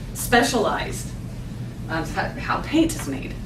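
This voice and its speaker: Audible room echo and noticeable background noise surround a woman speaking with a fairly high pitch. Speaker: marketing presenter. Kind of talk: business presentation. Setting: lunch seminar with audience. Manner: fast.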